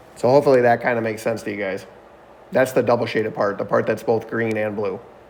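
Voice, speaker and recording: In a room with audible echo, a man with a medium pitch talks at a very fast pace with fairly even intonation. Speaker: math teacher. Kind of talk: online class lecture. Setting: video call.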